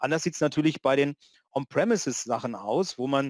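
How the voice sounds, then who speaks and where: In a dry, close recording with no echo, a man talks at a moderate pace with medium pitch and ordinary pitch variation. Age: 50s. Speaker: conference organizer and IT consultant. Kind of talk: casual chat. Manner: halting, many fillers.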